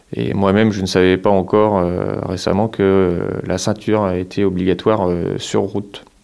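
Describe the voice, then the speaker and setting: At a moderate pace with hardly any pauses, a man speaks in a very deep, low voice with fairly even intonation. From Marne, northeastern France. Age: 30s. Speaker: farmer. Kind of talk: interview testimony. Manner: halting, many hesitations.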